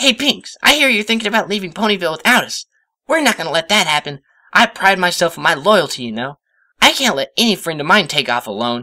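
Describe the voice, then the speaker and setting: A put-on character voice sits at a middle pitch and leaps through very wide pitch swings at a very fast pace. The recording is very clean, with a silent background. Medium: read story. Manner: brash.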